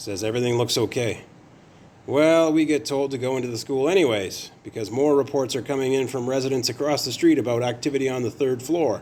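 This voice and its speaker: A man talks at a fairly quick pace in a medium pitch. His pitch varies in an ordinary way. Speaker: horror story narrator. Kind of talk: scary story narration.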